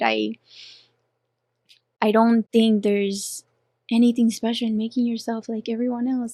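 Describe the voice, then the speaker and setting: A woman with a strong Colombian accent, fairly even intonation, a dry, close sound with no echo, and a quiet background. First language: Spanish. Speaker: professional dancer and boxing coach. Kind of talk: casual interview chat. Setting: studio.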